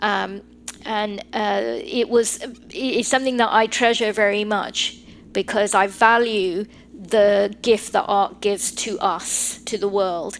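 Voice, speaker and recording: A woman with a British accent speaks at a medium pitch and a very slow pace, her intonation fairly even. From England (North London), Sri Lankan heritage. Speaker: lawyer. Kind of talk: podcast interview.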